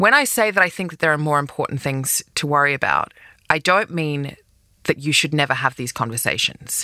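Bright and sharp in tone, a woman with an Australian accent speaks at a fairly quick pace, her very deep, low pitch showing ordinary variation. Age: 40s. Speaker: podcast host, advice columnist. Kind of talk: advice monologue.

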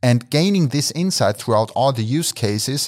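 A man with a German accent at a moderate pace, dry and close with no echo, on a very clean recording with a silent background. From Austria, Graz. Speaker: motorsport business director, mathematician. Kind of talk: interview.

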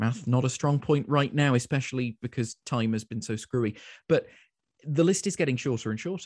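Over a quiet background, a man with a London accent talks at a fairly quick pace and medium pitch, with ordinary pitch variation and a dry, close sound with no echo. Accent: English, London-area. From London, England. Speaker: community radio station manager. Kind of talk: interview conversation. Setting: video call. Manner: dry witty.

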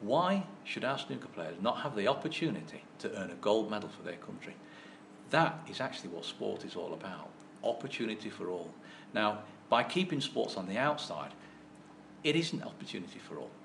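Fairly quick speech with very wide pitch swings, big swings in loudness and audible room echo. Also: man, fairly low pitch for a man. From English mining town. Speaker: sports governing body chairman, former professional snooker player. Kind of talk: interview. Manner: halting, repeats words.

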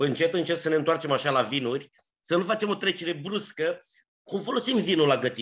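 This man's voice is high in pitch, with lively intonation. He speaks at a fairly quick pace. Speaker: culinary historian and podcast host. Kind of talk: interview. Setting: remote call.

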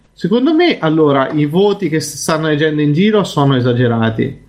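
This man has a normal speaking voice with a fairly high pitch. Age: 30s. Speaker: podcast co-host. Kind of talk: casual chat.

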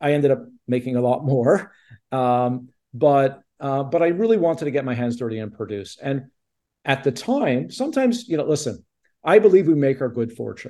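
With a Canadian accent, a man speaks at a moderate pace in a fairly high pitch, his tone dark and mellow and his intonation lively. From Quebec, Montreal. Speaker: television producer. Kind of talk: interview.

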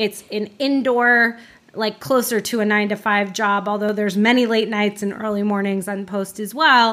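Fairly high in pitch, a woman with a plain, everyday voice speaks at a moderate pace with fairly even intonation. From Florida, Orlando. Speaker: advertising production head. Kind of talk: casual interview.

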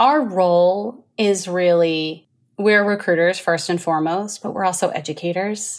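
A normal speaking voice with an American accent goes at a fairly slow pace, its pitch varying in an ordinary way. The recording is very clean, with a silent background. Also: woman, medium pitch for a woman. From New Jersey. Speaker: recruiting executive. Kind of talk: casual interview.

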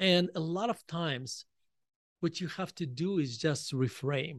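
With a Russian accent, a man speaks at a fairly high pitch in a dry, close sound with no echo. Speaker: author. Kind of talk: interview. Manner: halting.

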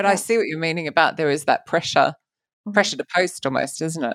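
Recorded very cleanly against a silent background, the speaker talks at a very fast pace in a British accent with ordinary pitch variation. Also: woman. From UK. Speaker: podcast host. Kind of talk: casual interview chat.

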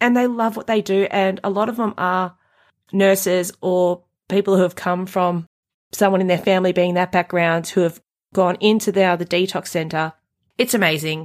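In a very clean recording with a silent background, a woman with an Australian accent talks at a moderate pace, medium in pitch and fairly even in intonation. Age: 40s. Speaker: recovering drug addict and mother. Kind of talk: personal testimony in conversation.

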